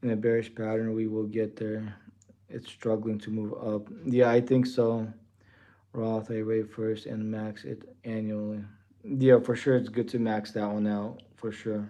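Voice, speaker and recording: This man speaks at a fairly slow pace. His voice is fairly low in pitch, and his intonation is monotone and flat. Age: 40s. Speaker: trading livestreamer. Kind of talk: live stream chat reading comments. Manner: casual, filler-heavy.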